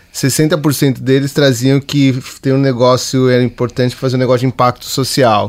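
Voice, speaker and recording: An unremarkable speaking voice delivered at a moderate pace. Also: man. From Capão Redondo, São Paulo. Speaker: podcast host. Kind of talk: casual chat.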